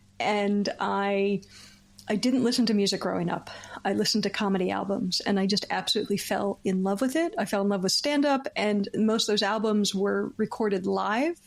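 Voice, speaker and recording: With a Philadelphia accent, a woman talks at a fairly quick pace and medium pitch. Her loudness stays very even. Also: ordinary pitch variation. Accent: American, Philadelphia. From US, Philadelphia. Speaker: comedian and comedy writer. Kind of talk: casual interview chat. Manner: halting, many restarts.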